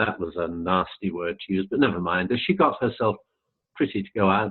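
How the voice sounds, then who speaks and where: The speech moves at a moderate pace. The speaker has an English accent. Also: man. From England. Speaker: retired airline pilot and spiritual channeler. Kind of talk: casual interview chat.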